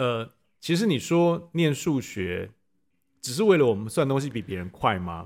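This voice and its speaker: Pitch swings very widely in this man's speech. He keeps a moderate pace and a medium pitch. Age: 50s. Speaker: parent of student, former tech executive. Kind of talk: interview. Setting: classroom.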